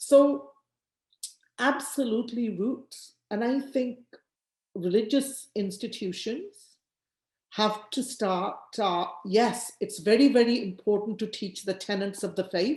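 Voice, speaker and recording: At a very slow pace, a woman talks in a fairly high, somewhat breathy voice whose pitch varies in an ordinary way. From England (born in Punjab, India, moved at nine). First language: Punjabi. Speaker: politician and former teacher. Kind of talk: interview.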